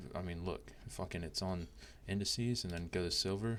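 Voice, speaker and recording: Soft-spoken delivery at a fairly quick pace, with vocal fry. Pitch varies in an ordinary way. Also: man. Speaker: trading educator. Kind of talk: tutorial. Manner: casual, halting with fillers.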